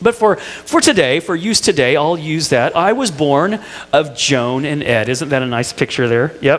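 Lively intonation carries this fairly slow delivery in an American accent. Light background noise sits underneath. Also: man. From Indiana, US Midwest. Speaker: pastor. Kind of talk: sermon. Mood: warm, light humour. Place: church. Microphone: headset.

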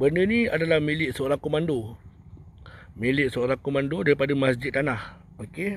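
With an unremarkable speaking voice, a man talks at a moderate pace and fairly high pitch, showing ordinary pitch variation in a dry sound with no echo. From Malaysia, Kuala Lumpur (Bandar Tun Razak); Kuala Lumpur, Malaysia. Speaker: spiritual healer. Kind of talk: live stream monologue. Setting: outdoors. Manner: rambling, repetitive. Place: open country. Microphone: initial audio problem; phone near.

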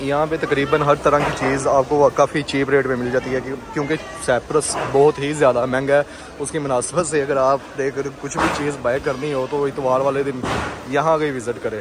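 A man talks at a moderate pace, the sound dry with no echo. Noticeable background noise is present. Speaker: travel vlogger. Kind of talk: casual vlog chat. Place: market. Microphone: phone near.

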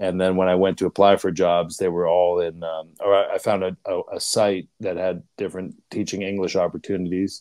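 An American accent in a dark, mellow tone, flat and monotone, at a moderate pace with hardly any pauses, dry with no echo against a quiet background. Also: man, very deep, low pitch for a man. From Pittsburgh, US. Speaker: leadership coach. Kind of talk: interview. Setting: video call. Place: home room. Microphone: earbuds.

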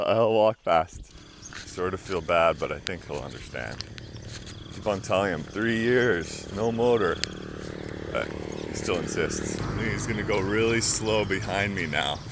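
A man talks at a fairly slow pace, with long, frequent pauses and ordinary pitch variation. The sound is dry with no echo, over loud background noise. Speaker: travel vlogger. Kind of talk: casual vlog chat. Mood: cheerful, laughing. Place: street. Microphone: phone near.

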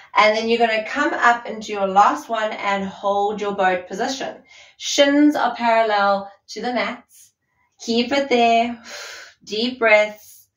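A woman speaks at a very slow pace with fairly even intonation. The background is quiet, with audible room echo. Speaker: fitness instructor. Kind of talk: workout instruction. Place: empty room.

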